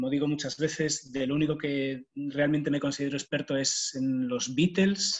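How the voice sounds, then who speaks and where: Speaking in a Spanish accent, a man uses a fairly high voice. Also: fairly even intonation, moderate pace. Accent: Spanish (Spain). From Spain. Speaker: university staff, speaker on volunteering. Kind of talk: online talk. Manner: hesitant, many fillers.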